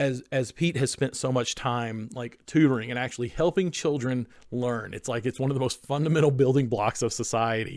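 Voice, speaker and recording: A man's medium-pitched voice with fairly even intonation and a slight Southern US accent. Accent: slight Southern drawl. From North Carolina Appalachians, US South. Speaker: podcast co-host. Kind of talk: casual chat. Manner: halting, many fillers and restarts.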